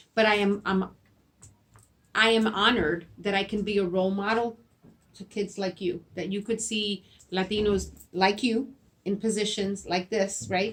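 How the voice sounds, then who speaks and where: With a Spanish accent, the speaker talks in a monotone, flat way, leaving long, frequent pauses. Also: woman, medium pitch for a woman, moderate pace. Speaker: school principal. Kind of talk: interview. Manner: halting, repeats words.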